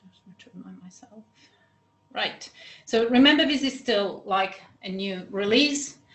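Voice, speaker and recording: Audible room echo surrounds a woman speaking at a fairly slow pace. Her loudness swings widely. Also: fairly high pitch for a woman. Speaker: research software trainer. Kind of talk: training session. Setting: video call. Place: office.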